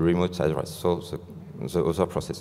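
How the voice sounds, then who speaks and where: A very deep, low-pitched man with a French accent. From France. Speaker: software engineer. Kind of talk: conference talk. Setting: stage with audience. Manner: halting. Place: hall.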